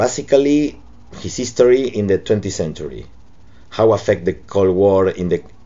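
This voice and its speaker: Speaking with a Spanish accent, a man talks at a fairly slow pace in a fairly low pitch with ordinary pitch variation. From Argentina, Buenos Aires. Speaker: cartoonist. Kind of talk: reading aloud a prepared statement. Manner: halting non-native English.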